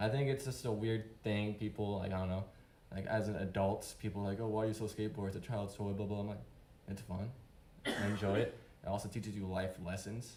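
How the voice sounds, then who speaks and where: There is audible room echo as a man talks at a fairly low pitch with fairly even intonation. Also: fairly quick pace. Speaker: open-mic speaker, father and skateboarder. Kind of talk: unprepared personal speech. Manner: halting.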